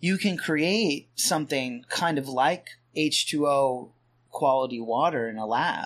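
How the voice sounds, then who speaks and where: Slow going: a man talks at a very slow pace with fairly high pitch. His pitch variation is ordinary, and the recording is very clean with a silent background. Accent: American. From Pennsylvania. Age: 40s. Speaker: author and podcaster. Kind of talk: casual chat.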